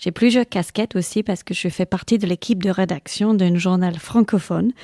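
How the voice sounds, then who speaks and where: In an English accent, a woman with a medium-pitched, dark, mellow voice speaks at a moderate pace with fairly even intonation, in a very clean recording with a silent background and a dry, close sound with no echo. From England. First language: English (speaking French). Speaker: general practitioner and medical lecturer. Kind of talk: interview. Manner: hesitant, with fillers.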